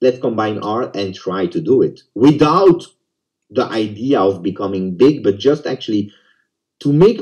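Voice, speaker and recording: A man speaks against a quiet background. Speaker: football YouTuber. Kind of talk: interview.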